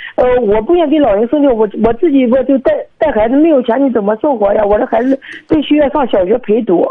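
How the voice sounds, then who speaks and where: A woman's high-pitched voice at a very fast pace, with ordinary pitch variation and noticeable background noise. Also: very even loudness. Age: 30s. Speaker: caller. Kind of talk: phone-in advice call. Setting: phone call. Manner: halting.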